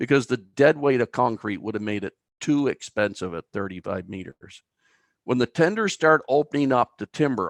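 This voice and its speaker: Speaking with an Atlantic Canadian accent, a man at medium pitch uses lively intonation and a moderate pace, recorded with a dry, close sound with no echo against a quiet background. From Atlantic Canada, New Brunswick (Albert County). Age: 60s. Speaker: timber bridge engineer. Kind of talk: webinar presentation.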